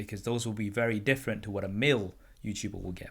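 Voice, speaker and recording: Recorded very cleanly with a silent background, a man with a British accent speaks at a very fast pace. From UK. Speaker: tech YouTuber and podcast host. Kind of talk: casual interview chat.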